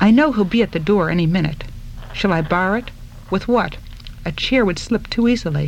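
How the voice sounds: The delivery comes in a natural reading voice. That voice carries through the clip.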